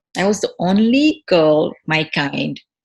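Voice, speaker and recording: A woman's somewhat breathy voice, fairly low in pitch, moves through very wide pitch swings. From Senegal (Dakar). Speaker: food entrepreneur. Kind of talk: interview conversation. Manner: halting, many repetitions.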